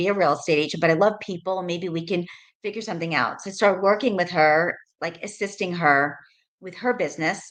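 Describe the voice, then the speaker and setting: A fairly quick woman's voice with an American accent, medium pitch and ordinary pitch variation. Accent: New York accent, worked to tone it down. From New York, Rockland County. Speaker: real estate agent. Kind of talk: interview. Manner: casual, many fillers.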